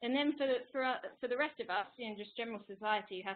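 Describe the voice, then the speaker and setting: A woman with an English accent, ordinary pitch variation, and light background noise. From England. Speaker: climate scientist, postdoc researcher. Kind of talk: webinar presentation. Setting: online webinar. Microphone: video call.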